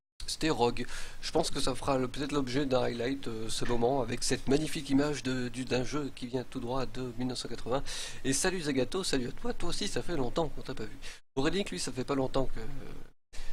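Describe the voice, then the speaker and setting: Medium-pitched male speech at a moderate pace, with fairly even intonation and audible room echo. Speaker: game streamer. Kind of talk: live stream commentary. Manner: hesitant.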